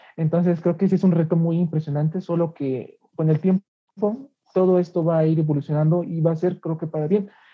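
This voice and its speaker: The speech moves at a fairly quick pace with hardly any pauses and fairly even intonation. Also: man, high pitch for a man. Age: 20s. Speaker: law student, student leader. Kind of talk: interview.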